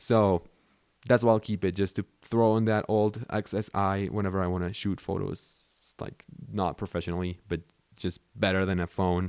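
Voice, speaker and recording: A man with a Spanish accent talks at a fairly low pitch and a moderate pace. His intonation is fairly even, and the sound is dry and close with no echo. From Mexico. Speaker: YouTuber. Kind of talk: casual talk to camera. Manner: casual, conversational.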